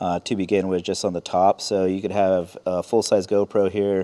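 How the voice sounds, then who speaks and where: Monotone, flat intonation marks this man's dark, mellow tone. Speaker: FPV drone pilot. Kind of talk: casual talk to camera, gear walkthrough. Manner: casual, hesitant with fillers.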